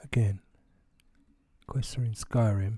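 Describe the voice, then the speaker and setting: Somewhat breathy, a man speaks at a fairly slow pace in a fairly low pitch with monotone, flat intonation. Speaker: gaming YouTuber. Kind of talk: tutorial. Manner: casual with fillers.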